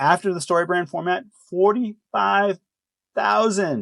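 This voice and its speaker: In a dry, close sound with no echo, a man speaks at a high pitch with an animated tone. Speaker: video marketing consultant. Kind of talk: business presentation.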